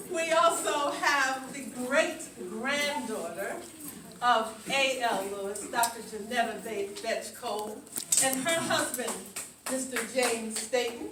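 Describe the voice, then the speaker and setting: Lively intonation comes at a very slow pace, with audible room echo and music in the background. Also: woman, high pitch for a woman. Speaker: museum founding director. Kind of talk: ceremony speech. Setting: outdoors. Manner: halting.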